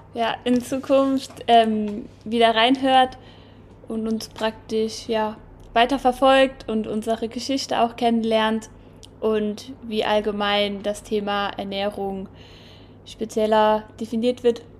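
A woman's fairly high voice, monotone and flat, at a very slow pace. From Saarland, St. Wendel district. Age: 20s. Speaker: podcast co-host and student. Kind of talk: casual chat.

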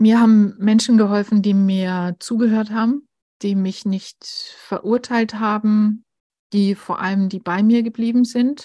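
The voice is somewhat breathy, dark and mellow, moving at a fairly slow pace. Its intonation stays monotone and flat over a quiet background. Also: woman, fairly high pitch for a woman. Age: 40s. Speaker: grief counsellor and editor. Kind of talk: interview about personal grief.

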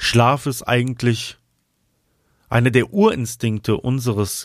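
On a very clean recording with a silent background, a man speaks very slowly in a soothing, calm tone at a medium pitch with ordinary pitch variation. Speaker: podcast host and flute player. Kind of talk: guided meditation. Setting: studio with flute music in background. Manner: slow, soothing, calm; soft-spoken, gentle.

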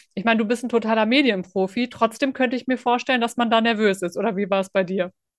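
Against a quiet background, a woman talks in an unremarkable speaking voice, fairly high-pitched with ordinary pitch variation. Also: dry, close sound with no echo. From Sauerland, Germany. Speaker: podcast host. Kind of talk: interview.

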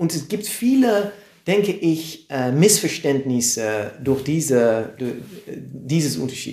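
A man at a fairly high pitch with lively intonation, amid noticeable background noise and audible room echo. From Netherlands, Amersfoort. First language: Dutch (speaking German). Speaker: comedian. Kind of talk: interview. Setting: live stream, in person. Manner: halting.

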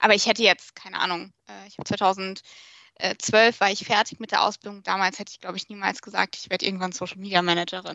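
A woman speaks at a medium pitch in a monotone, flat intonation. Her loudness swings widely. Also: fairly quick pace. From Germany, Portuguese family. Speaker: social media manager. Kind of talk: podcast interview.

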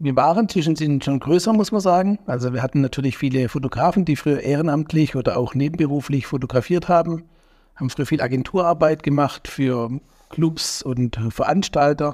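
At a fairly quick pace, a man with a fairly high pitch talks in an ordinary speaking voice with ordinary pitch variation. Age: 40s. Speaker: entrepreneur, event organizer. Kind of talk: interview.

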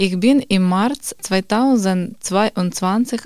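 Medium pitch from a female speaker, her pitch varying in an ordinary way. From Ukraine, Kharkiv. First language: Ukrainian or Russian (speaking German). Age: 30s. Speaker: quality manager, course participant. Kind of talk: reading aloud.

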